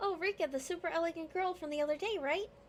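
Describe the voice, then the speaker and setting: A woman's squeaky, put-on character voice at an extremely high pitch and a very fast pace, with clear background noise. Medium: game stream. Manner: smooth, teasing.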